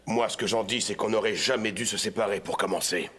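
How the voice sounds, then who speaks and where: A man uses a put-on, raspy character voice at a medium pitch, speaking at a fairly quick pace in a calm tone. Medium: fan dub. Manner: calm, self-assured.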